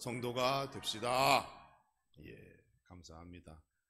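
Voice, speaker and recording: A man talks at a fairly slow pace in a medium pitch. Audible room echo surrounds the recording. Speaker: pastor. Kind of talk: sermon. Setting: church.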